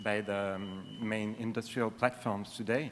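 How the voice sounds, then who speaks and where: The pace of the speech is fairly slow. It comes in a French accent. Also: man. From France (Paris). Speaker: conference audience member asking a question. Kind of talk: Q&A question. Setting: conference hall. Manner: halting, many fillers.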